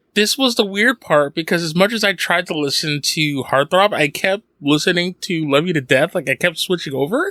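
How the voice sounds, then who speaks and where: A man speaks at a moderate pace and a high pitch, with hardly any pauses. His tone is animated, his intonation lively, and the sound dry and close with no echo. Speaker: podcast co-host. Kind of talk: casual chat.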